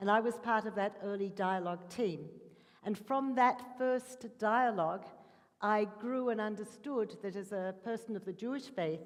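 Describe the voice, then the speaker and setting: Speaking with an Australian accent, a woman has a fairly high voice with ordinary pitch variation. She talks at a moderate pace. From Australia, Melbourne. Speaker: interfaith dialogue worker. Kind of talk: panel talk.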